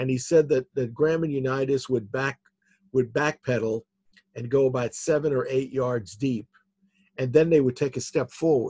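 Somewhat breathy and dark and mellow in tone, a man speaks at a medium pitch and moderate pace with fairly even intonation, the sound dry and close with no echo. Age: 60s. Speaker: author. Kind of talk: casual chat.

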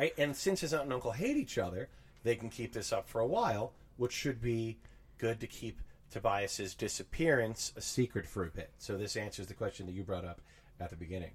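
A somewhat breathy man with an American accent speaks with lively intonation. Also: medium pitch for a man. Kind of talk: casual chat.

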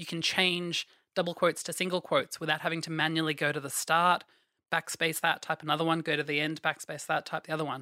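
A woman with an Australian accent speaks very fast in a very deep, low pitch, her tone bright and sharp and her intonation monotone and flat. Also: very clean recording, silent background. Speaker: programmer. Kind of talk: casual interview, tech explanation.

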